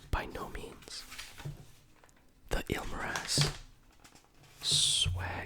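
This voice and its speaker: A man whispers in a gentle tone. Noticeable background noise is present. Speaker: ASMR creator. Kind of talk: story reading, ASMR. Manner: whispered, gentle.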